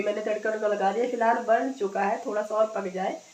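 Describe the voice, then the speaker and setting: Noticeable background noise runs under this recording. A woman speaks at a moderate pace with a fairly high pitch. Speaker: vlogger. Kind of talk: casual vlog.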